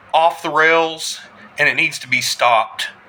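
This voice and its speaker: A man with an American accent talks at a high pitch. Noticeable background noise is present. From US South. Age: 40s. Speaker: army combat veteran. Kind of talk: political address to camera. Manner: impassioned.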